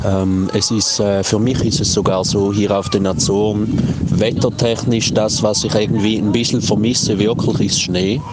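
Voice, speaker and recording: Speaking at a fairly low pitch with very even loudness and fairly even intonation, a man is heard over noticeable background noise and audible room echo. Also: moderate pace. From Switzerland. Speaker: podcaster and reggae DJ. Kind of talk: casual chat. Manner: hesitant with many fillers.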